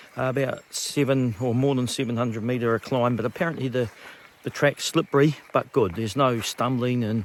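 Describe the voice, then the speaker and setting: Someone with a New Zealand accent talks fairly quickly, with ordinary pitch variation. Background noise is noticeable. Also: man. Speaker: long-distance hiker vlogger. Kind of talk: casual vlog narration. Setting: outdoors on a hiking trail.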